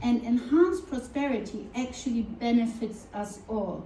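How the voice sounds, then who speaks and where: A woman with a high pitch talks at a moderate pace with ordinary pitch variation, amid audible room echo and noticeable background noise. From Germany. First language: German. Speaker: cybersecurity consultant and keynote speaker. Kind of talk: conference keynote. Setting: conference stage with audience.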